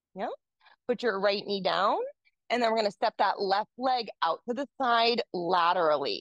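In a quiet background with a dry, echo-free sound, a woman speaks in a calm, gentle tone at a fairly high pitch with ordinary pitch variation. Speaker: yoga teacher. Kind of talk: yoga class instruction, with a soft guided-meditation feel. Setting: yoga studio class. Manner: calm, gentle, cueing poses slowly; casual, conversational. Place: home room.

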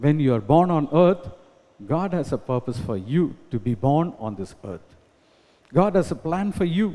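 A man talks at a fairly slow pace in a dark, mellow tone. His pitch swings very widely. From India. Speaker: pastor. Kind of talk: sermon. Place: church. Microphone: podium.

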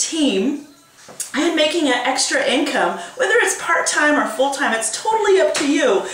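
Room echo can be heard around the voice. A woman talks at a moderate pace. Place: home room. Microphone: webcam.

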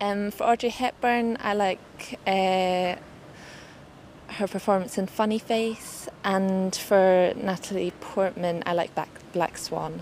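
Over light background noise, a woman speaks at a very slow pace with fairly even intonation, the sound dry with no echo. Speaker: interviewee. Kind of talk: interview answer. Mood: friendly, smiling. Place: street.

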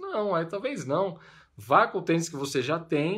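The speaker is a man. The background is quiet. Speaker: running coach. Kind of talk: casual advice vlog. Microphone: phone near.

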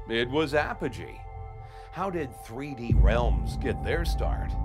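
Music plays in the background as a man speaks at a moderate pace in an upbeat, enthusiastic tone. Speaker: voice actor. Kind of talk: promotional showcase host narration.

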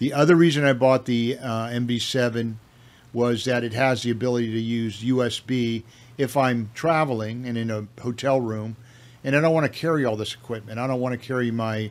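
Fairly even intonation from a man speaking at a moderate pace. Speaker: home video creator. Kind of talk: casual product review talk. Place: home room. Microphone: studio mic.

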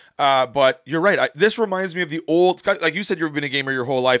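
Against a quiet background, a man talks at a very fast pace. His tone is animated. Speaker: gaming podcast host. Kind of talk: casual chat. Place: home room. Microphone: studio mic.

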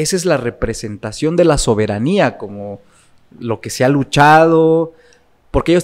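The setting is quiet. A man delivers his words fairly slowly. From Puebla, Mexico. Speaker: political consultant and lecturer; lecturer. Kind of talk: interview conversation. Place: studio. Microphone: studio mic.

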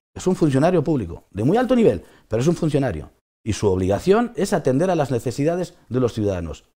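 Against a quiet background, a man speaks very fast in a dark, mellow tone with vocal fry and very wide pitch swings. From Spain. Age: 50s. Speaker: trucking company owner. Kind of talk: interview. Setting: studio. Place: studio.

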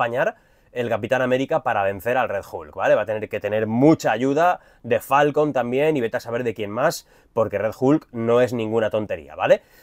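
A man speaks at a fairly quick pace and a medium pitch, with ordinary pitch variation, in a dry recording with no echo and a quiet background. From Spain. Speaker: YouTuber, film and comics commentator; YouTuber, comics commentator. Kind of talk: trailer reaction video. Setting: cruise ship cabin. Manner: animated. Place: home room. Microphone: lapel.

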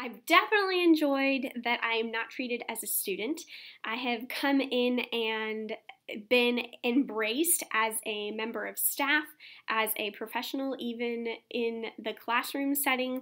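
With a bright, sharp tone and a high pitch, a woman speaks fairly slowly against a quiet background. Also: ordinary pitch variation. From Texas, San Antonio; Texas. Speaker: doctoral student. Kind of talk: interview testimonial. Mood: warm, upbeat. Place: office. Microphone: webcam.

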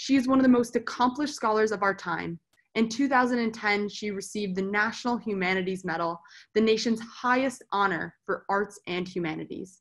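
A woman's fairly high voice at a moderate pace, with ordinary pitch variation over a quiet background. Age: 20s. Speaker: student, sponsor family member. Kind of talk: reading prepared introduction. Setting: video call. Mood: warm, smiling. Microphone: webcam.

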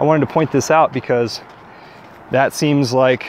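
The voice moves at a moderate pace with fairly even intonation, in a dry sound with no echo over light background noise. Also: man. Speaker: vlogger on a walk. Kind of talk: casual vlog chat. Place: forest. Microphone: earbuds.

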